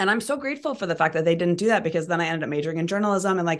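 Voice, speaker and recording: A woman's voice, fairly low in pitch. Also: quiet background. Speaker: podcast host. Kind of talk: casual interview chat.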